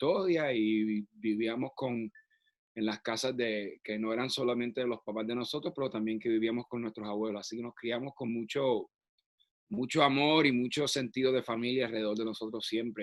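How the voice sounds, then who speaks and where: A man with a Puerto Rican accent talks at a moderate pace, recorded dry and close with no echo. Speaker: actor. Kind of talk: interview conversation. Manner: halting, many fillers and restarts.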